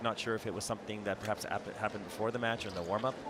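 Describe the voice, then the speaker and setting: Noticeable noise fills the background. The words come very fast. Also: man. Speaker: tennis commentator. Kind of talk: live sports commentary, expert analyst reel.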